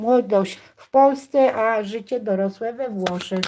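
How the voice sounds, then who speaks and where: A woman with a fairly high pitch speaks at a fairly slow pace, with noticeable background noise. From Poland, village near Stargard (West Pomerania). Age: 60s. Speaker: cooking YouTuber. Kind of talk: live cooking stream chat. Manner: casual, hesitant with fillers.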